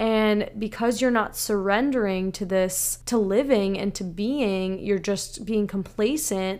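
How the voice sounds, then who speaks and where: A woman with an unremarkable speaking voice talks fairly slowly at a fairly high pitch. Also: very clean recording, silent background. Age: 20s. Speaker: podcast host. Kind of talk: solo monologue podcast.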